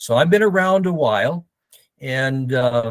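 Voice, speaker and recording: Recorded very cleanly against a silent background, a man speaks with ordinary pitch variation in a dry, close sound with no echo. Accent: American. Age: 70s. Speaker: forestry and fire service professional, author. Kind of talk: interview. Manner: hesitant, many fillers.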